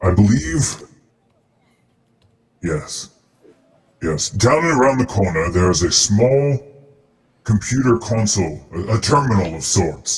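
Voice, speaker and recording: Putting on a character voice, a man with a fairly low pitch speaks at a fairly slow pace with long, frequent pauses and very wide pitch swings. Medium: actual play. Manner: polite, shrewd dealmaker.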